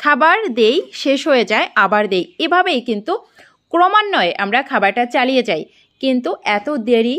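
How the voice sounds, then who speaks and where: Against a quiet background, a woman's high voice moves in very wide pitch swings. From Bangladesh. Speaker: duck farmer and video creator. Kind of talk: tutorial. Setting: at the farm late at night. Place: farm machine. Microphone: phone near.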